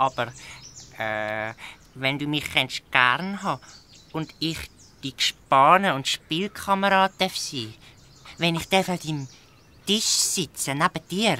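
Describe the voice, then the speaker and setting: In a croaky put-on character voice at a middle pitch, the speaker moves at a fairly slow pace with long, frequent pauses. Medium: audio drama. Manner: croaks quack between phrases.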